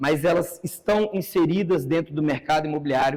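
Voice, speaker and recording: This is an ordinary speaking voice at a fairly slow pace. The intonation is lively. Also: man. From Brazil, São Paulo ABC region. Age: 30s. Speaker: entrepreneur giving a talk. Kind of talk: conference talk.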